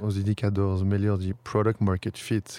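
A man talks at a fairly slow pace with a French accent. The recording is very clean and dry, close and echo-free, with a silent background. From France, Paris. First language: French (speaking Portuguese). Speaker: startup founder. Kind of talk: interview. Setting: outdoors in front of a stadium. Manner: halting.

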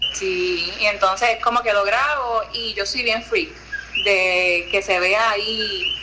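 Speaking very slowly in a Puerto Rican accent, a woman with a fairly high pitch and ordinary pitch variation is heard over noticeable background noise. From Puerto Rico, Jayuya area. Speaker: social media content creator. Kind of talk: casual chat.

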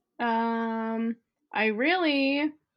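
A woman's plain, everyday voice in an American accent, fairly high in pitch, with ordinary pitch variation. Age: 20s. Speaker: photographer and college student. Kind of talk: casual chat.

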